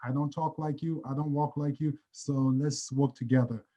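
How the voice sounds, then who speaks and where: The voice belongs to a man and has a dark, mellow tone. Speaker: athlete. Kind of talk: virtual panel discussion.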